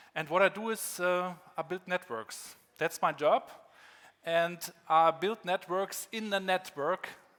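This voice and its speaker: A man with a German accent, high in pitch, with a bright, sharp tone. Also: ordinary pitch variation, fairly slow pace, very clean recording, silent background. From northern Germany, Rostock. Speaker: keynote speaker, former rapper. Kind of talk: keynote talk. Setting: conference stage with audience.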